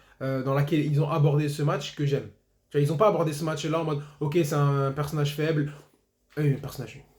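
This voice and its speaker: A man talks at a fairly quick pace in a flat, monotone way, leaving long, frequent pauses. His voice is somewhat breathy, and room echo can be heard. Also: fairly high pitch for a man. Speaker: football YouTuber. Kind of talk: match debrief monologue. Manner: fast.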